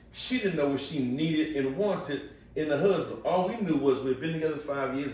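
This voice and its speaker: Lively intonation amid noticeable background noise and audible room echo. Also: man. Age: 50s. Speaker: podcast guest. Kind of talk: casual chat.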